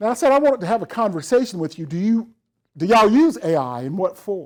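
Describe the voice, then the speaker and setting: Talking very fast, a man with a strong Southern US accent uses a high pitch that swings very widely. The recording is very clean, with a silent background. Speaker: professional development director and accessibility trainer. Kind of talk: lecture. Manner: casual, conversational.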